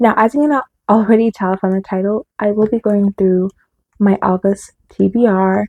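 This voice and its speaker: Close and dry with no echo, a woman's medium-pitched voice has a dark, mellow tone and fairly even intonation. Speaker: booktuber. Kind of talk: casual vlog talk. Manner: fast; stumbling.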